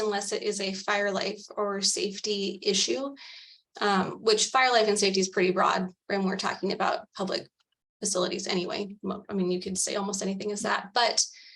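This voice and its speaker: Here is a woman with an ordinary speaking voice at medium pitch. She moves at a fairly quick pace. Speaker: advisory council member presenting recommendation. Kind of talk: policy presentation at public meeting.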